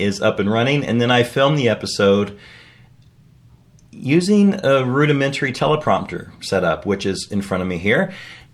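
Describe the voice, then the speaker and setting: This man's medium pitch moves in very wide swings. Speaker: writer and video blogger. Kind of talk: scripted video update read from teleprompter. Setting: home basement recording setup. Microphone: separate audio recorder, room a little echoey.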